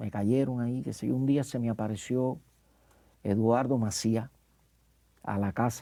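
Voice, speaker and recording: Speaking at a fairly slow pace, a man has a medium pitch and a dark, mellow tone. His intonation is fairly even, and the recording is very clean with a silent background. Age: 60s. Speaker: actor. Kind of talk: interview. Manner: halting.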